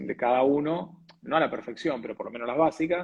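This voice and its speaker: With an Argentine accent, a man speaks at a fairly high pitch and ordinary pitch variation. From Argentina. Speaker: TV weather presenter and announcer. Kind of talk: interview answer.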